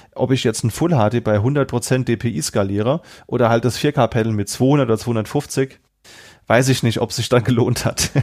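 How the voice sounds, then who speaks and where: A man's unremarkable speaking voice at medium pitch, moderate pace, ordinary pitch variation and very even loudness, on a very clean recording with a silent background. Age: 30s. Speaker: IT consultant and trainer, laptop collector. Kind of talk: casual chat.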